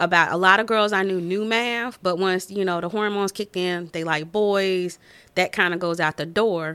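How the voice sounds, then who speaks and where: Speaking in a Southern US accent, a woman with a bright, sharp tone and medium pitch keeps a moderate pace and fairly even intonation in a very clean recording with a silent background. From Winston-Salem, North Carolina. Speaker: engineer turned stay-at-home mom, school board candidate. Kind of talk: casual interview chat.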